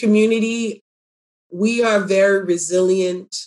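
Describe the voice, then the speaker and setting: In a normal speaking voice, a woman of medium pitch talks with fairly even intonation. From Ghana, moved to Canada as a child. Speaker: community farm director and food justice activist. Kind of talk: interview.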